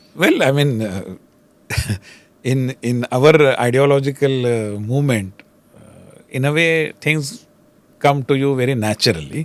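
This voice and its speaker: Speaking at a fairly slow pace with long, frequent pauses, a man with a Marathi accent shows big swings in loudness and ordinary pitch variation. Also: medium pitch for a man. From Maharashtra, India. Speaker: politician and think tank leader. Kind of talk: podcast interview. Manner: Hindi-English code-switching.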